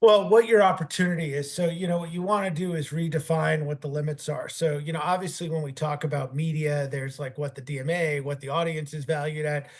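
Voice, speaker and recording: A very fast man's voice, fairly high in pitch, with fairly even intonation, hardly any pauses and noticeable background noise. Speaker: sports team executive. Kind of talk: interview.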